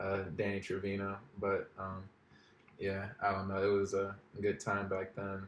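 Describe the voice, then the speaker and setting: Monotone, flat delivery from a man with a fairly low pitch, broken by long, frequent pauses. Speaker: podcast co-host. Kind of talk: podcast interview. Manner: fast-talking.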